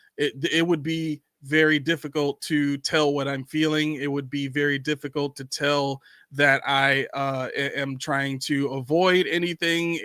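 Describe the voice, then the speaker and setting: Putting on a robotic character voice, a man speaks at a moderate pace in a fairly high pitch with hardly any pauses. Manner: monotone, robotic, expressionless.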